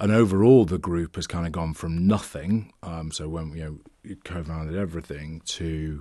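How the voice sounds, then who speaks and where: The voice has a dark, mellow tone with ordinary pitch variation. The background is quiet. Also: man, very deep, low pitch for a man, moderate pace. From northern England, just south of Manchester. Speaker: venture capital investor. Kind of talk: casual interview chat.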